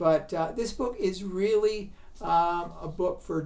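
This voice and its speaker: Medium pitch from a woman, plus audible room echo. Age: 70s. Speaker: book reviewer. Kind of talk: book review. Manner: halting, many fillers.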